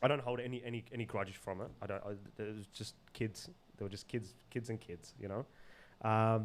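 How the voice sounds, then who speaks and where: With an Australian accent, a man at a fairly low pitch talks with long, frequent pauses. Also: fairly even intonation, fairly quick pace. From Zimbabwe, raised in Sydney area, Australia. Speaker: podcast guest. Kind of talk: casual chat. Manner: loud; halting, many repetitions.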